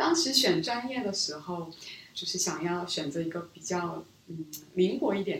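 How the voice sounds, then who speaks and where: With audible room echo and noticeable background noise, a woman with a fairly low pitch speaks at a moderate pace using lively intonation. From South Korea, Seoul; childhood years in Beijing. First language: Korean (speaking Chinese). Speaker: business school student, former strategy analyst. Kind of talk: interview conversation. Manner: soft-spoken.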